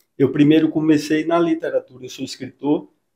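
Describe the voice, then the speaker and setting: At a moderate pace, a man with a fairly high pitch and a normal speaking voice talks with fairly even intonation against a quiet background. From Salvador, Bahia, Brazil; Bahia, Brazil. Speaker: psychologist and author; interviewee. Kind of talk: interview. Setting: clinic. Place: office. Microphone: handheld.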